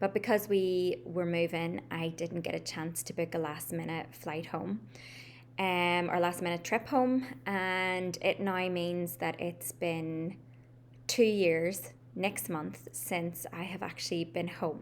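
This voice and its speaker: The speaker has an American accent and lively intonation. The pace is very slow. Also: woman, fairly low pitch for a woman. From Northern Ireland, Belfast. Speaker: life coach. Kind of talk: casual vlog talk to camera. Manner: casual, frequent ums.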